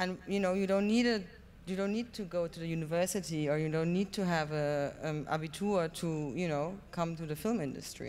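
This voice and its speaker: Fairly quick and fairly low-pitched, a woman's voice shows ordinary pitch variation. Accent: German. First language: German. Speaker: film producer. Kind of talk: panel discussion. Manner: halting.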